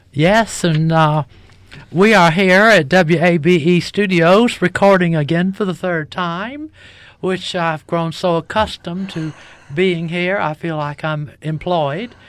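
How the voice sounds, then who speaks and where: The speech has a Southern US accent. The pace is fairly slow. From US South, Savannah Georgia. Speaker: drag performer and musician. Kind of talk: interview. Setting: radio studio.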